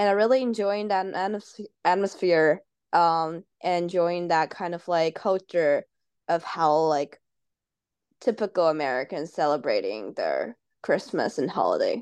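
At a fairly slow pace, a woman with a fairly low pitch and ordinary pitch variation speaks against a quiet background, with a dry, close sound and no echo. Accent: Chinese. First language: Chinese. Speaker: international student, advisory board member. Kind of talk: casual interview.

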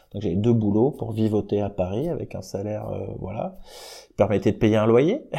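Speaking at a moderate pace, a man has a fairly low pitch with ordinary pitch variation, a dark, mellow tone and vocal fry. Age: 40s. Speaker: music industry program director. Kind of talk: interview. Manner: casual, hesitant with fillers.

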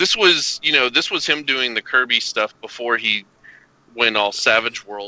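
In an American accent, a man speaks at a fairly slow pace with ordinary pitch variation. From US South (Arkansas and Kentucky). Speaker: cartoonist. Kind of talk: casual chat.

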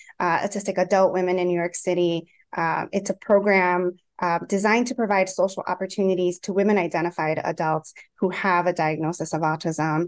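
An unremarkable speaking voice moves at a moderate pace with fairly even intonation. The background is quiet. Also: woman. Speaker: clinical psychologist. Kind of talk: panel discussion. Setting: video call.

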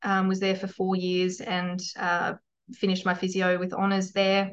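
A woman with an Australian accent at a moderate pace. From rural New South Wales, Australia. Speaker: physiotherapist and clinic owner. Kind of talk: podcast interview.

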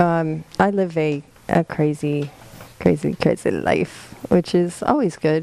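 A woman's voice is heard against noticeable background noise. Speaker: podcast host. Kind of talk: casual chat. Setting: studio.

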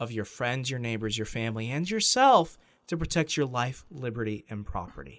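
A man speaks at a moderate pace. His voice is an unremarkable speaking voice at medium pitch. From Arizona, US Southwest. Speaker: podcast co-host. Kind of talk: casual chat podcast.

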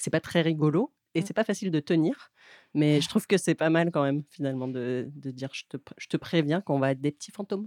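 A woman's very deep, low voice in a dark, mellow tone at a fairly quick pace, with ordinary pitch variation and big swings in loudness, recorded very cleanly against a silent background with a dry, close sound and no echo. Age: 30s. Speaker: radio co-host. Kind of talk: casual radio chat. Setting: radio studio.

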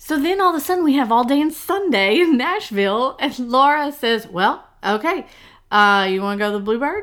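Animated and high-pitched, a woman's voice makes very wide pitch swings on a very clean recording with a silent background. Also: moderate pace. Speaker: podcast host. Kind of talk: casual chat.

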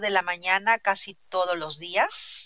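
The voice carries a Peruvian accent. Its tone is bright and sharp. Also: woman. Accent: Peruvian Spanish (Lima). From Peru, Lima. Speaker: interviewee in language-learning conversation. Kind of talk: casual interview.

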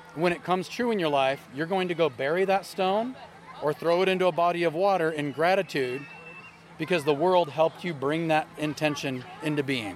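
Fairly quick speech from a man, fairly high in pitch with ordinary pitch variation, amid noticeable background noise. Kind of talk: casual chat. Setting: outdoors at a charity event.

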